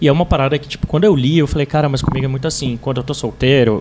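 A man talks with fairly even intonation. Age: 20s. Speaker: writer on relationships. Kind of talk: casual chat.

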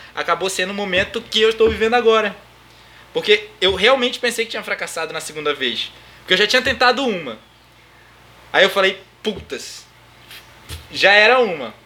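Raised and projected, a man's high-pitched voice moves at a fairly quick pace with ordinary pitch variation. He takes long, frequent pauses. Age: 20s. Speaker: podcast host, DJ and music production student. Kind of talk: casual chat.

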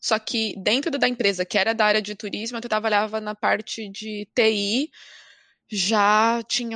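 A woman with a normal speaking voice talks at a fairly high pitch with fairly even intonation. The sound is dry and close with no echo over a quiet background. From Brazil. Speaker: podcast guest. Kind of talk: casual chat.

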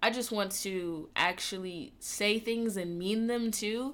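In an American accent, a woman with a plain, everyday voice speaks at a medium pitch with ordinary pitch variation. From Atlanta, US South. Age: 20s. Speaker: podcast host and gaming streamer. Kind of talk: casual monologue.

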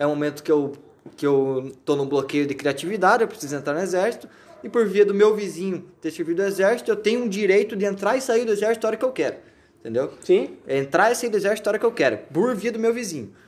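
The speaker goes at a very fast pace with lively intonation. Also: man, high pitch for a man. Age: 20s. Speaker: podcast host. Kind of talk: casual comedic chat.

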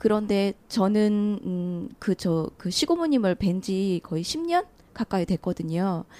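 A woman's dark, mellow tone sits at medium pitch with lively intonation. The sound is dry and close, with no echo. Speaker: audience participant. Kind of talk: casual group conversation. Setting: live public recording with audience.

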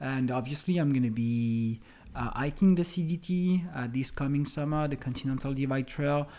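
A man in a French accent has a dark, mellow tone and a fairly high pitch, speaking at a moderate pace with ordinary pitch variation. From France. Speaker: hiking podcaster. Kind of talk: solo podcast monologue. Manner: halting, many fillers.

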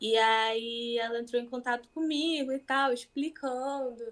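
This woman has a plain, everyday voice, pitched fairly high with fairly even intonation. The recording is very clean, with a silent background. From Rio de Janeiro, Brazil. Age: 20s. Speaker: painter. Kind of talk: interview conversation.

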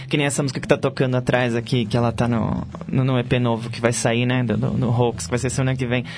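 A man with a medium-pitched voice talks at a very fast pace with fairly even intonation, against noticeable background noise. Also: hardly any pauses. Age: 20s. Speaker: rock guitarist and singer. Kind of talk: casual interview.

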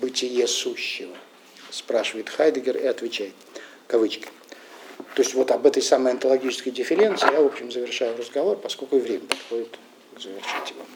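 Over noticeable background noise, a man talks at a fairly quick pace broken by long, frequent pauses. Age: old. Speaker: philosophy lecturer. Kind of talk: lecture. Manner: halting, many filler sounds.

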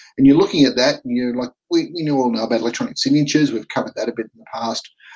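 Here a man talks with an Australian accent. His pitch is medium, with ordinary pitch variation. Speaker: podcast host. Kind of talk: casual chat. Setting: video call.

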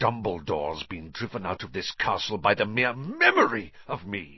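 A man puts on a character voice with a hissing quality. His pitch sits fairly low and his pace is moderate. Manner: hissing, contemptuous.

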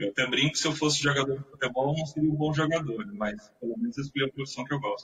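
A man with a fairly high pitch talks at a very fast pace with hardly any pauses. His pitch shows ordinary variation. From São Vicente, Baixada Santista, Brazil. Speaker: IT professional. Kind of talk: interview.

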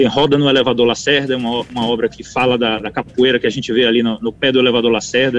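A man's medium-pitched voice, very fast, with fairly even intonation. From Bahia, Brazil. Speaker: conductor and composer. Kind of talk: interview. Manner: halting, many repetitions.

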